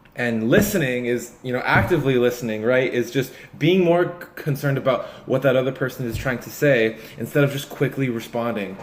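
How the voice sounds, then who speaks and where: A man with a mid-range voice speaks with ordinary variation in pitch, background noise clearly audible. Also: fairly quick pace. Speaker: vlogger who stutters. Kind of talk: casual vlog talk. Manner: halting, with repetitions.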